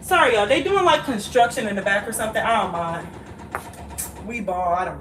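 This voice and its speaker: A woman talks fairly quickly in a fairly high voice with lively intonation, big swings in loudness and long, frequent pauses. Audible room echo and noticeable background noise fill the recording. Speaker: vlogger. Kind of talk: casual chat. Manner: animated.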